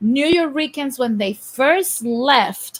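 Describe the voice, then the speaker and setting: Lively intonation in a somewhat breathy female voice. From Puerto Rico. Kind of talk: casual group discussion.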